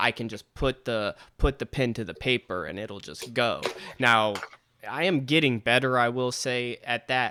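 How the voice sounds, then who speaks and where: Delivered at a moderate pace, the voice has a bright, sharp tone, ordinary pitch variation and big swings in loudness, in a dry, close sound with no echo. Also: man, medium pitch for a man. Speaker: podcast host; rapper. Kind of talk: casual chat. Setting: video call.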